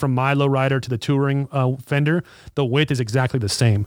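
In a plain, everyday voice, a man talks fairly quickly at a fairly high pitch with fairly even intonation. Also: dry, close sound with no echo. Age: 30s. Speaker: motorcycle shop podcast host. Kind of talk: casual chat. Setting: video call.

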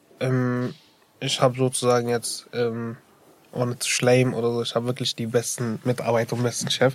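A man speaks at a moderate pace in a medium pitch with monotone, flat intonation over noticeable background noise. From Iraq. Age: 18. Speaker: dental assistant trainee. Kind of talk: interview. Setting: studio. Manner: hesitant, many fillers.

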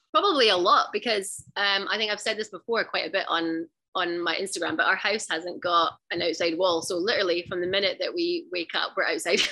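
Woman with a west of Scotland accent, bright and sharp in tone, at a medium pitch with lively intonation, a fairly quick pace and hardly any pauses, against a quiet background. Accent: west of Scotland Scottish. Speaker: stay-at-home mom and outdoor adventurer. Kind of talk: casual interview chat.

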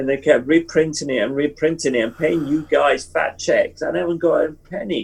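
Hardly pausing at all, a man with vocal fry and a fairly high pitch speaks at a moderate pace with ordinary pitch variation. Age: 70s. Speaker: book cover illustrator. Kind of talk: interview.

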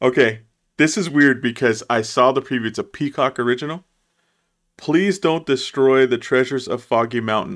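At a moderate pace, a man with an ordinary speaking voice talks at medium pitch with ordinary pitch variation, on a very clean recording with a silent background. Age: 30s. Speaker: movie podcast co-host. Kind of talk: casual chat.

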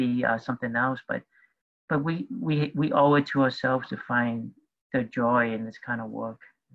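At a moderate pace, a man speaks at medium pitch with fairly even intonation in an unremarkable speaking voice. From New York City. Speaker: activist and community organizer. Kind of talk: panel discussion. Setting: video call.

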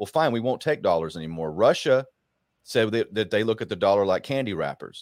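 A medium-pitched man at a very fast pace with lively intonation, in a dry, close sound with no echo and a very clean recording with a silent background. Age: 40s. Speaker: political commentator. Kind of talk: casual chat.

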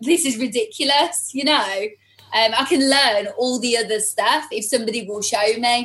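There is noticeable background noise as a woman with a high pitch talks at a moderate pace, her pitch varying in an ordinary way. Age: 40s. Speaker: salon owner and hair stylist. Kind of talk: casual interview chat.

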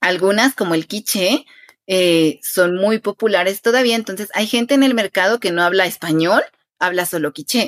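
Speaking at a moderate pace, the woman has an unremarkable speaking voice with a medium pitch and ordinary pitch variation. The sound is dry and close, with no echo. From Guatemala, Quetzaltenango. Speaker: Spanish teacher. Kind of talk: interview conversation.

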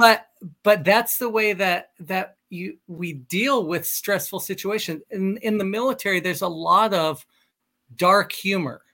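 Projecting a raised voice with a bright, sharp tone, a man talks at a fairly slow pace and a high pitch on a very clean recording with a silent background. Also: ordinary pitch variation. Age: 40s. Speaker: military pilot and life coach. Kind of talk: casual interview.

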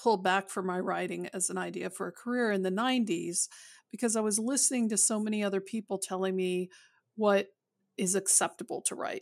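Music plays in the background as a woman speaks. Her pace is moderate, her pitch medium and her intonation fairly even. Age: middle-aged. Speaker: romance novelist, podcast co-host. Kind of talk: casual chat. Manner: halting.

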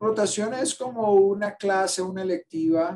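At a very slow pace, a man talks while music plays behind him. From Colombia, Cali. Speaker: infectious disease physician and professor. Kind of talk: interview. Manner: halting.

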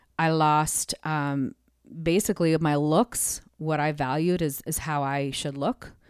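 On a very clean recording with a silent background and a dry, close sound with no echo, a woman with a very deep, low pitch speaks at a fairly slow pace with ordinary pitch variation. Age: 40s. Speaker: worship leader. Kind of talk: casual interview. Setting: studio.

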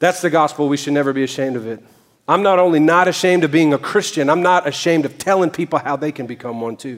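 Here a man speaks with a Southern US accent. His pitch sits fairly high. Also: ordinary pitch variation. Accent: southern drawl. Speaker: pastor. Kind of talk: sermon. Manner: animated; loud.

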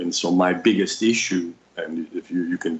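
Speaking with a New York accent, a man keeps a moderate pace. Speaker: psychic healer and educator. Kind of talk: casual chat.

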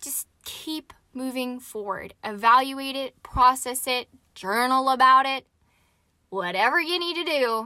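A woman projects her raised voice at a high pitch with a bright, sharp tone. She speaks at a very slow pace. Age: 20s. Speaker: podcast host and jet pilot. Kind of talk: solo podcast monologue. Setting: recording inside a parked jet. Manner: casual, with frequent fillers.

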